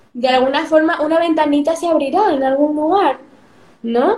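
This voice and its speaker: Noticeable background noise accompanies a woman whose fairly slow delivery has ordinary pitch variation. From Spain (Madrid), born in Peru. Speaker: youtuber. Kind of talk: interview.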